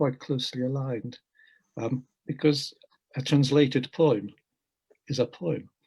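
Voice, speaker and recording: A man speaks with a fairly high pitch and a somewhat breathy quality. His pace is moderate and his intonation fairly even. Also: long, frequent pauses. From Hungary, raised in England from age eight. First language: Hungarian. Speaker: poet and translator. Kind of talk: panel interview. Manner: measured, reflective.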